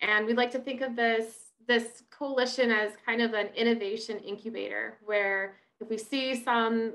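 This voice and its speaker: This woman has a bright, sharp tone and speaks with monotone, flat intonation. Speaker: online event host. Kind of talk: introduction for a webinar. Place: home room. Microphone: webcam.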